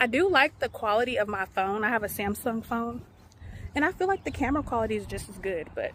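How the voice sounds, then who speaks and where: A woman with a fairly high pitch and vocal fry races along at a very fast pace, her pitch swinging very widely. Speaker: vlogger. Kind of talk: casual vlog talk. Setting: at home then outdoors on a walk.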